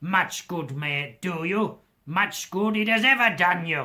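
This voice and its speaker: A gruff put-on character voice at a middle pitch moves at a fairly slow pace. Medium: read story. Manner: gruff, scornful.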